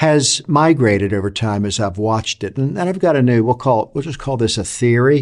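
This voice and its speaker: Over a quiet background, a man with a normal speaking voice talks at a fairly quick pace, his medium pitch varying in an ordinary way. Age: 60s. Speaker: leadership author and consultant. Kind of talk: talk to camera on leadership. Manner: reflective, with frequent fillers and restarts.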